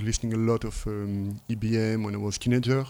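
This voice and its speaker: On a very clean recording with a silent background, a man with a French accent speaks at a moderate pace in a medium pitch and a dark, mellow tone, with fairly even intonation. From northern France, Lille. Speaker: techno producer and DJ. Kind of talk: interview. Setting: at host's home. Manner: halting.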